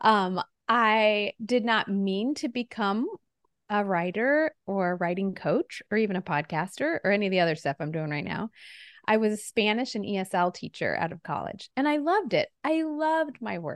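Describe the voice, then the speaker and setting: A woman's voice at a moderate pace, with very wide pitch swings, over a quiet background. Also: medium pitch for a woman, dry, close sound with no echo. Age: 40s. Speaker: novelist and writing coach. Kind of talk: casual chat.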